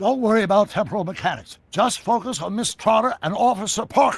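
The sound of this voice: A man puts on a character voice, high-pitched with a slightly husky edge and vocal fry. He talks at a fairly quick pace with lively intonation.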